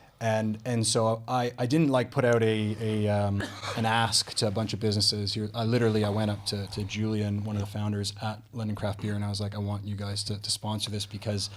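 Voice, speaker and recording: A man with a fairly low pitch speaks fairly quickly in a flat monotone with hardly any pauses, over noticeable background noise. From Canada. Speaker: podcast host. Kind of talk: interview conversation. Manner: hesitant, many fillers.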